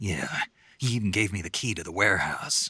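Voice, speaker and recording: In a put-on character voice, a man growls at a fairly low pitch, with a dry, close sound and no echo. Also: fairly quick pace. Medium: video game. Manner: terse, dry.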